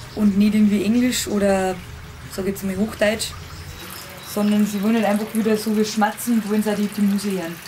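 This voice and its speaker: Over noticeable background noise, the speaker talks in a Lower Bavarian accent with monotone, flat intonation. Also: woman. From Lower Bavaria, Germany. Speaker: singer-songwriter. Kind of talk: interview answer.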